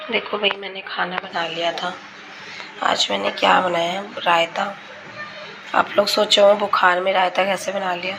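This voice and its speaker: A quiet woman speaks at a very slow pace in a monotone, flat intonation, with noticeable background noise. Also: medium pitch for a woman. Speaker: vlogger. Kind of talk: casual vlog talk.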